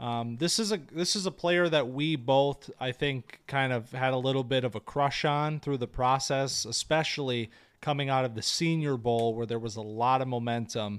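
A man speaks at a moderate pace and medium pitch with ordinary pitch variation in a plain, everyday voice, on a very clean recording with a silent background. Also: hardly any pauses. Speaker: podcast host, fantasy football analyst. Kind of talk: casual chat, sports analysis discussion.

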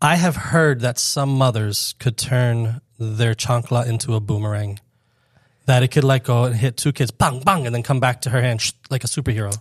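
With a dry, close sound and no echo in a very clean recording with a silent background, a man with an American accent speaks at a medium pitch in a somewhat breathy voice. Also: ordinary pitch variation, moderate pace. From Florida, Fort Lauderdale. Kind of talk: casual chat.

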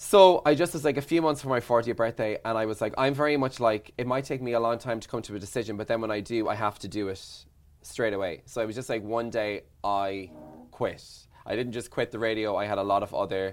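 A man with an Irish accent, medium in pitch, fairly quick, with ordinary pitch variation in a very clean recording with a silent background. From Ireland. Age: 40s. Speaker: radio presenter and journalist.

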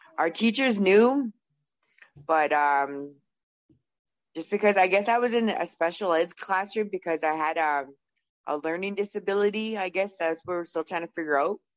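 At a moderate pace, a woman with a medium pitch and ordinary pitch variation talks with long, frequent pauses. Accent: Canadian prairie. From Canada, Winnipeg, Manitoba. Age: 30s. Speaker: person in addiction recovery. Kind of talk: testimony. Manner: hesitant, many fillers.

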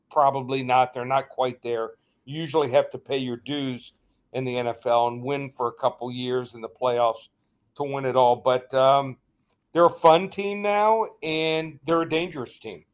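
A man talks at a medium pitch in a normal speaking voice. The pitch variation is ordinary. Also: moderate pace. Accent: American. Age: 50s. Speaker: sports betting analyst. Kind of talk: radio interview.

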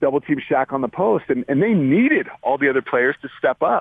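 This man's voice sits fairly high and shows ordinary pitch variation. He keeps a moderate pace. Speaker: college basketball coach. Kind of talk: radio interview. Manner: halting.

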